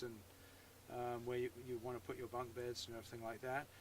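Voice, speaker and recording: A man is speaking here. He has an English accent. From England. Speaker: YouTuber. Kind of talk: tutorial. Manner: hesitant, many fillers.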